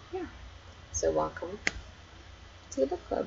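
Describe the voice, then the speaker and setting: Here is a woman with an Australian accent. Her pitch sits fairly high. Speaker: book club host. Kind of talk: casual live stream chat. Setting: live stream.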